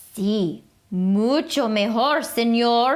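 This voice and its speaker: A put-on character voice delivered with a Spanish accent. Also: woman, fairly high pitch for a woman. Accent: Spanish-flavored English. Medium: read story.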